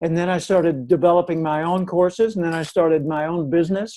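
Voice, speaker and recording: Speaking at a moderate pace with an American accent, a man with a high pitch and a dark, mellow tone keeps his intonation fairly even. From US South, Little Rock, Arkansas. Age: 70s. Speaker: professional speaker. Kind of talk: radio interview. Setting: radio show.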